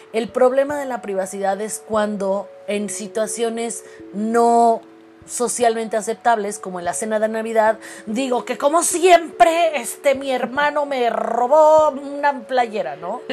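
Amid noticeable background noise, a woman with a fairly high pitch and lively intonation speaks at a fairly slow pace. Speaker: psychologist podcast host. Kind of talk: casual chat. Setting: remote recording during quarantine.

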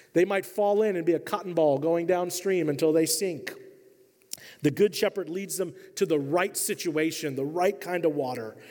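A man with an American accent speaks at a moderate pace in a high pitch, with ordinary pitch variation. His tone is dark and mellow. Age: 40s. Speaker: pastor. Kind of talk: sermon. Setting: church.

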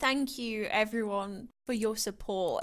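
A woman speaks in an ordinary speaking voice at a fairly slow pace and a fairly high pitch, with fairly even intonation. The recording is very clean, the background silent. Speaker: podcast co-host. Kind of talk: casual chat.

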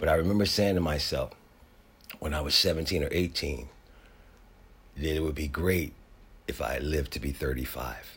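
A man with a very deep, low voice and vocal fry speaks at a moderate pace with long, frequent pauses. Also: ordinary pitch variation. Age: 60s. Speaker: podcast host. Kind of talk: solo monologue.

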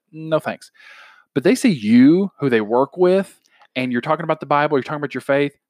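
The sound is dry and close with no echo as a man speaks at a fairly quick pace. He has an ordinary speaking voice, fairly high in pitch, with ordinary pitch variation. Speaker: podcast host. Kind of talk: casual chat about faith. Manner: conversational, informal.

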